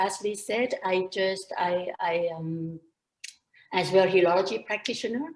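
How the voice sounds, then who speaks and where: A woman with a Thai accent speaks at a fairly slow pace in a medium pitch. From Thailand. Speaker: entrepreneur and pharmacist. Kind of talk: interview.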